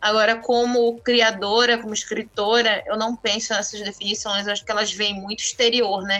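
A woman talks in a fairly high voice at a moderate pace. Her intonation is monotone and flat. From northern Brazil, Santarém, Pará. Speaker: author. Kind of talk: interview.

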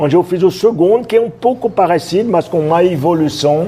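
Lively intonation from a man, with noticeable background noise behind it. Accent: French. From France, Roanne. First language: French (speaking Portuguese). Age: 60s. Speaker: chef. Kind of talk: casual interview.

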